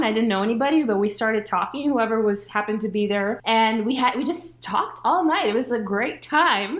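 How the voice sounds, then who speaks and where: With a Spanish accent, a woman speaks at a fairly high pitch using lively intonation. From Latin America. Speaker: podcast host. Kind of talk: casual chat.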